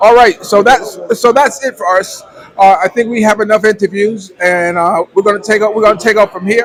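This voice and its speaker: A man speaks at a fairly quick pace in a high voice with ordinary pitch variation. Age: 60s. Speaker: vlogger. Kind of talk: casual interview. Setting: coffee house.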